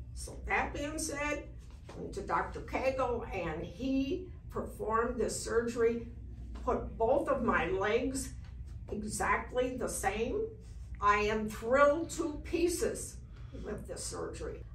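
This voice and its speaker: A woman speaks at a very slow pace, her loudness swinging widely. Audible room echo and noticeable background noise fill the recording. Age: 80s+. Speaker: patient. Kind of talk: testimony. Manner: enthusiastic.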